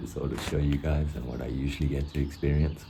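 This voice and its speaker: Speaking at a fairly quick pace, a man with a very deep, low pitch comes through audible room echo and noticeable background noise. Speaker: vlogger and day trader. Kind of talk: casual vlog narration. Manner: whispering.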